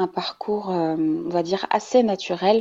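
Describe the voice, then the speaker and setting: A woman talks at a fairly low pitch. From Morocco. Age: 30s. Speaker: mother of triplets, marketing professional. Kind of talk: testimony. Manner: halting.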